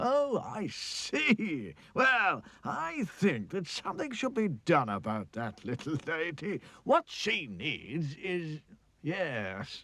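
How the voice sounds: A man puts on a cartoonish character voice, fairly high in pitch with very wide pitch swings, delivered at a very slow pace.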